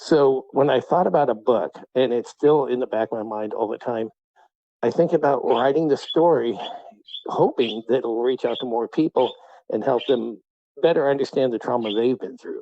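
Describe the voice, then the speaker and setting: With ordinary pitch variation and a medium pitch, a man talks at a moderate pace. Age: 50s. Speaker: horror author. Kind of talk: interview. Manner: halting, many fillers.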